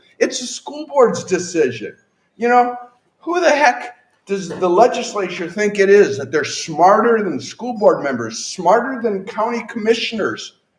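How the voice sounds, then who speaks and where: With lively intonation and a high pitch, a man speaks at a fairly slow pace in a room with audible echo. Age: 60s. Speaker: political candidate. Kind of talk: campaign speech. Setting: stage with audience. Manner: animated.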